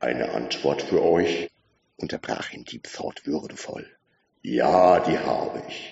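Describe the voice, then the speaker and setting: Using a put-on character voice with a clear echo, a man speaks at a fairly slow pace in a very deep, low pitch. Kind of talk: dignified, formal. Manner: dignified, interrupting.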